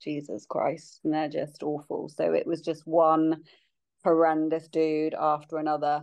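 With a British accent, a woman speaks in a very deep, low pitch at a fairly slow pace with monotone, flat intonation against a quiet background. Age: 40s. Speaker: podcast guest sharing fertility journey. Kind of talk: casual chat.

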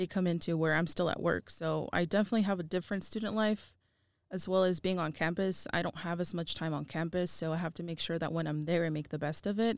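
Using a plain, everyday voice, a woman speaks with ordinary pitch variation. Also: very clean recording, silent background. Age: 20s. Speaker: working student and mother. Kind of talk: interview.

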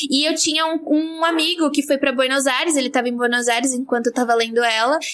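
The speech has fairly even intonation, heard over noticeable background noise. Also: woman. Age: 20s. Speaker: physicist and science communicator. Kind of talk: casual chat.

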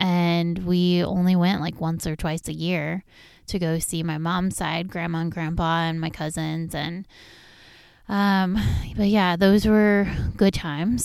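A woman speaks in a normal speaking voice with an American accent, her fairly low pitch and fairly slow pace captured in a very clean recording with a silent background. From Southern California. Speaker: podcast host. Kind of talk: personal storytelling monologue.

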